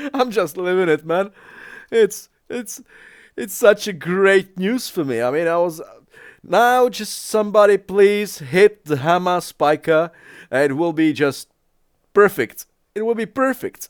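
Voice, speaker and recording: A man with a Czech accent speaks at a fairly slow pace in a high voice, his intonation lively and his delivery broken by long, frequent pauses, all on a very clean, dry, close recording with a silent background and no echo. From Czech Republic. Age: 40s. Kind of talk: casual reaction commentary.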